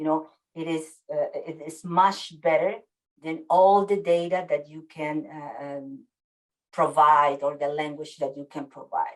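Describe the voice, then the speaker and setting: In a Spanish accent, the speech keeps a moderate pace. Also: woman. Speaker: webinar presenter on worker health communication. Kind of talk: webinar presentation. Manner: hesitant, many fillers.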